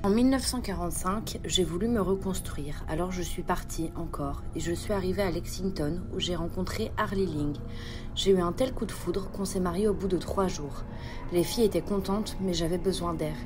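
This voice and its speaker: Over music in the background, a woman at a medium pitch talks fairly slowly in a calm, deadpan tone. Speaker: narrator playing a historical female killer. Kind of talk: true-crime first-person narration, dramatized confession. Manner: calm, matter-of-fact, deadpan.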